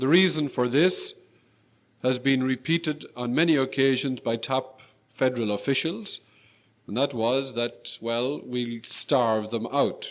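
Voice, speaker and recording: An unremarkable speaking voice from a man with an American accent, medium in pitch, at a fairly slow pace with ordinary pitch variation, on a very clean recording with a silent background. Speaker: lecturer, former school principal and aid worker. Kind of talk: lecture.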